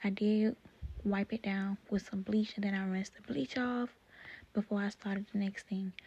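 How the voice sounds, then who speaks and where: Whispering and soft-spoken, the speaker goes at a moderate pace. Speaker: cooking vlogger. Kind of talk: voice-over cooking tutorial. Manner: soft, near whispering; casual, chatty.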